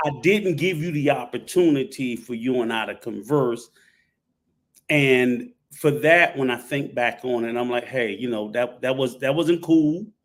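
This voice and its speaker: A man with a normal speaking voice talks at a medium pitch and a fairly slow pace, with ordinary pitch variation. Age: 60s. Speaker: panel guest, traveler. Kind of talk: live panel discussion. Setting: live stream panel.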